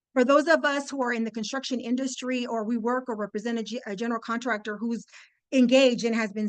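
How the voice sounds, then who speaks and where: A woman speaks at a very fast pace with a fairly high pitch. The background is quiet. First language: Spanish. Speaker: construction industry speaker. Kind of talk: webinar presentation. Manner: animated.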